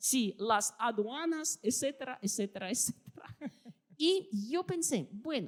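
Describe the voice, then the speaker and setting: A woman speaks at a fairly slow pace with a Russian accent. Her high voice swings very widely in pitch. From Russia (Soviet Union). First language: Russian (speaking Spanish). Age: 50s. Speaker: historian and writer. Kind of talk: interview.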